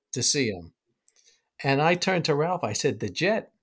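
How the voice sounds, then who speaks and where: The speaker talks with a New York accent. The recording is very clean, with a silent background. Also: man. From New York City (Brooklyn). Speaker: baseball scout. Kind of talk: interview, storytelling.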